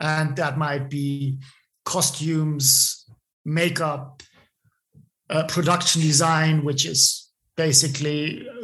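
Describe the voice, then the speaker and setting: Speaking with a German accent, a man uses a fairly high pitch and monotone, flat intonation. His pace is very slow, with long, frequent pauses. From Bavaria, Germany. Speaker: film assistant director. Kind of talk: interview. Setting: remote call.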